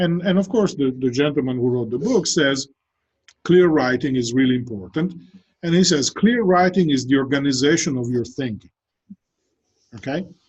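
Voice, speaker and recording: A man's fairly high, somewhat breathy voice with lively intonation, a moderate pace and long, frequent pauses. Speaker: professor. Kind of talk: lecture. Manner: conversational with many fillers and repetitions.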